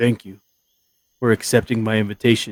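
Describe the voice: A raspy put-on character voice from a man, medium in pitch, fairly quick, with monotone, flat intonation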